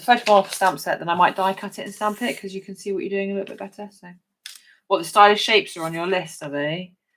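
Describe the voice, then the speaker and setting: A woman talks with a southern English accent. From southern England, Hampshire. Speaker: crafting demonstrator. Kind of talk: live craft tutorial. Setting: livestream from home craft desk. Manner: chatty, conversational.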